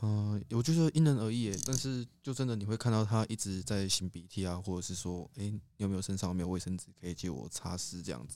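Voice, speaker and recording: A man with a dark, mellow tone and fairly low pitch talks at a very fast pace with hardly any pauses. His intonation is lively, on a very clean recording with a silent background. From Taiwan, Pingtung. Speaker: podcast co-host, university student. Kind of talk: casual chat.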